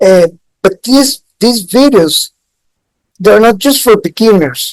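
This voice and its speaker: A woman talks at a very slow pace with a Spanish accent and a fairly high pitch. The sound is dry and close with no echo. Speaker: Japanese language teacher. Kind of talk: tutorial. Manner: halting.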